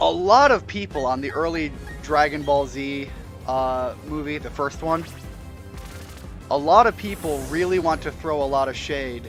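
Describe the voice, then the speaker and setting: A man speaks at a moderate pace with lively intonation and long, frequent pauses, music playing in the background. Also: fairly high pitch for a man. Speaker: gameplay commentator. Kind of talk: casual let's play commentary.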